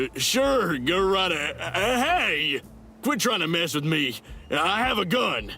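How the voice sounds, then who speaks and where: A man's put-on character voice, high in pitch, with very wide pitch swings, a fairly slow pace and very even loudness, over clear music in the background. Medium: video game. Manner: dim, blustering.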